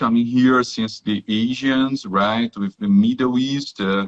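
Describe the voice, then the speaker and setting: A man with a Brazilian accent, medium in pitch. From southern Brazil, Rio Grande do Sul. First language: Portuguese. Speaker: technical professional, guest. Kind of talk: live interview in second language. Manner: halting, many fillers and repetitions.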